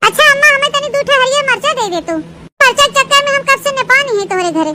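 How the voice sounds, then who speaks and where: A woman does a cartoonish character voice at an extremely high pitch, very fast and with lively intonation. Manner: argumentative.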